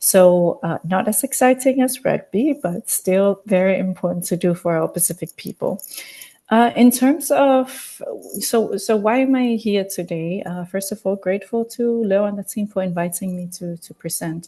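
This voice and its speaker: Her voice sits at a medium pitch, and this woman's tone comes across dark and mellow. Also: ordinary pitch variation, moderate pace. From Samoa, island of Savai'i. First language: Samoan. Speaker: journalist. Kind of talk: webinar presentation.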